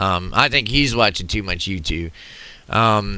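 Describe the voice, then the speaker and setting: This man sounds bright, sharp, and animated, with vocal fry. He has an American accent. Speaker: political commentator reacting to videos. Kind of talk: reaction video commentary. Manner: loud, projecting to reach the mic.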